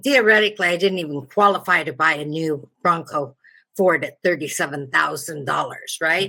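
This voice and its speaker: At a moderate pace, the voice has a bright, sharp tone and ordinary pitch variation. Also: woman. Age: 70s. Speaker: customer sharing a complaint. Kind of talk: testimony. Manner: halting.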